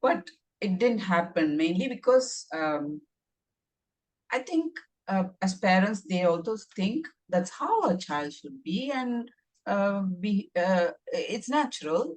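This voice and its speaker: A woman with a Tamil accent speaks at a very slow pace, with long, frequent pauses and a medium pitch. Her voice is somewhat breathy, with very wide pitch swings. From India. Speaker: author. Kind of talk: casual chat. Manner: halting.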